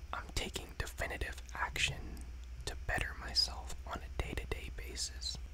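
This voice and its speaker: A man is whispering, with noticeable background noise behind him. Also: moderate pace. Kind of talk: poetry reading. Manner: whispered.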